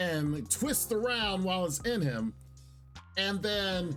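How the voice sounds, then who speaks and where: Music can be heard in the background. Over it, a man talks very slowly. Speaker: anime reviewer. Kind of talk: casual review talk to camera. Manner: excited.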